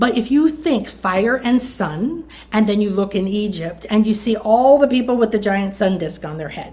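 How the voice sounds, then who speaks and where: Lively and animated in tone, a woman speaks at a fairly high pitch with hardly any pauses. Her voice is somewhat breathy and her pace moderate. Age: 60s. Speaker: spiritual teacher. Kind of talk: interview.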